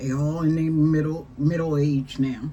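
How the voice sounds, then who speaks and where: Audible room echo carries a woman's very deep, low voice with fairly even intonation. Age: 60s. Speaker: talk show host. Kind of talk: casual chat. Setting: live stream.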